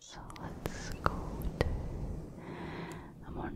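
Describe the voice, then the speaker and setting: Someone whispers, soft-spoken, at a very slow pace. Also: woman. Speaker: ASMR creator. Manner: soft close-mic ASMR whisper. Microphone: studio mic.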